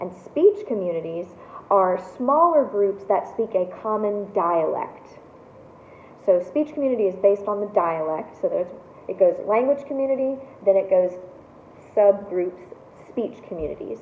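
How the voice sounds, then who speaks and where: The speech has lively intonation and long, frequent pauses, set against noticeable background noise. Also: woman, medium pitch for a woman, moderate pace. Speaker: college instructor. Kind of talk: lecture. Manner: casual, with many fillers.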